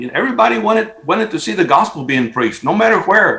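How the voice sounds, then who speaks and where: A man talks with very wide pitch swings. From South Texas (near Corpus Christi). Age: 70s. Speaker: Spanish-language preacher. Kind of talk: interview. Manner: halting, many repeated words.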